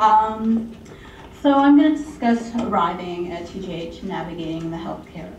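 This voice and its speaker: A woman with a fairly low voice talks at a moderate pace, her intonation lively and her loudness swinging widely, over noticeable background noise and audible room echo. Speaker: healthcare presenter. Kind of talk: presentation.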